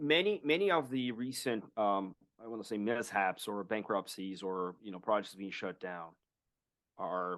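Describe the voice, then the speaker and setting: Speaking at a moderate pace, a man with a Portuguese accent has a fairly low pitch. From Brazil. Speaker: blockchain strategist and podcaster. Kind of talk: interview.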